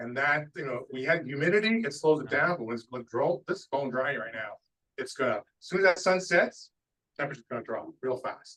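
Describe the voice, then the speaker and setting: Big swings in loudness mark this man's bright, sharp, fairly high voice and lively intonation. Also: fairly quick pace. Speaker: weather briefer. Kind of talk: presentation. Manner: fast.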